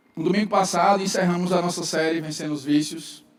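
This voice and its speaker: Noticeable background noise and audible room echo surround a man speaking with monotone, flat intonation. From northeastern Brazil, João Pessoa. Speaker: pastor. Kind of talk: sermon. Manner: fast.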